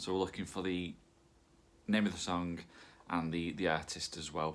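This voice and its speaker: A man with a northern English accent and a very deep, low pitch. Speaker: quiz host. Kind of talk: hosting an online quiz. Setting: home recording with pet nearby. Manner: casual, many fillers.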